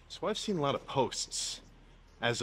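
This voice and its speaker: A man talks with faint music in the background. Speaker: bodybuilder vlogger. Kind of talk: casual vlog chat. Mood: mildly annoyed, opinionated. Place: gym.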